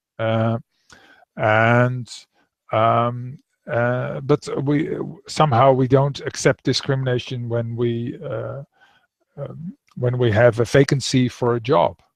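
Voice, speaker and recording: At a very slow pace with long, frequent pauses, a man with a Dutch accent speaks in a medium pitch with fairly even intonation. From Netherlands. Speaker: author. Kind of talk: interview. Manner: halting.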